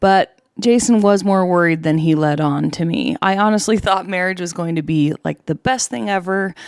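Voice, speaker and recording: A woman with an American accent speaks at a moderate pace in an unremarkable speaking voice, her pitch fairly low with ordinary variation. The recording is very clean, with a silent background. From Utah. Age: 40s. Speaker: podcaster. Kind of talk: personal testimony podcast.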